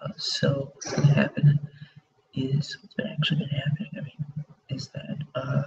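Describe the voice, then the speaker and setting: Big swings in loudness mark this quiet voice. The pace is moderate. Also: man. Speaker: film reaction youtuber. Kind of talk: live reaction stream. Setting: at home, early morning live stream. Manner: quiet, hushed; hesitant, filler-heavy.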